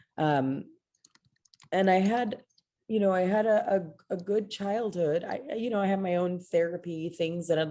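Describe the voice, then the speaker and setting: Against a quiet background, a woman with an American accent speaks at a moderate pace in a fairly low pitch, her tone dark and mellow, with ordinary pitch variation. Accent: Texan American English, Mexican American. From Texas, Houston. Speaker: theater director. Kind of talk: interview.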